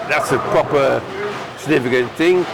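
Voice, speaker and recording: A man with a fairly high pitch speaks with ordinary pitch variation. Noticeable background noise and audible room echo fill the recording. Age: 70s. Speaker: veteran tenpin bowler. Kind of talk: casual interview. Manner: halting, repeats words.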